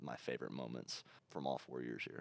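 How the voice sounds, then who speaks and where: A man talks at a very fast pace with an American accent. Vocal fry runs through his voice. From Ohio. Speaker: college basketball player. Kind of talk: casual interview.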